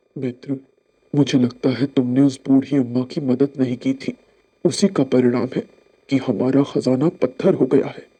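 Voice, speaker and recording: A man does a cartoonish character voice at a medium pitch. He keeps a moderate pace and fairly even intonation. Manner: gentle, polite.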